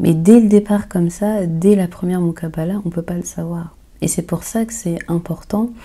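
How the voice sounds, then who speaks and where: Her dark, mellow tone comes with fairly even intonation from this woman. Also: moderate pace. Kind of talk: Q&A advice talk. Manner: hesitant, many fillers.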